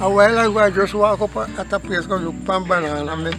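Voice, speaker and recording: Music plays in the background. A man with a Jamaican accent talks at a fairly quick pace. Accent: rural Jamaican Patois. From Jamaica, Hanover. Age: 90s. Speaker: farmer. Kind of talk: casual interview. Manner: halting.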